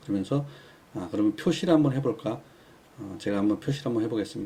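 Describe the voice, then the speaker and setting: At a very fast pace, a man speaks in a dark, mellow, somewhat breathy tone with lively intonation. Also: medium pitch for a man. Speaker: stock chart indicator instructor. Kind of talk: tutorial. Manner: hesitant fillers.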